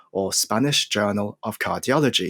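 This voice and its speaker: A man speaks at a moderate pace in a plain, everyday voice, with ordinary pitch variation. The recording is very clean, with a silent background. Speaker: podcast host. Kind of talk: interview host questions. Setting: studio.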